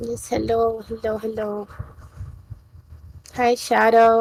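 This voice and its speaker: Soft-spoken, a woman talks at a very slow pace with long, frequent pauses. Her tone is dark and mellow, her pitch fairly high. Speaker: streamer guest. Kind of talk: casual chat.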